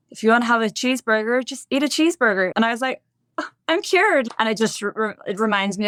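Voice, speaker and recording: The speaker talks at a very fast pace with a Northern Irish accent and lively intonation. The sound is dry and close, with no echo. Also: woman. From Northern Ireland, Bangor near Belfast. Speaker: podcast guest sharing recovery story. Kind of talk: interview testimony.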